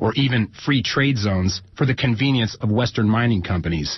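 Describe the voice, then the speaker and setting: This man's voice has a somewhat breathy sound. Its pitch is fairly low. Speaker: radio news anchor. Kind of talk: radio news read.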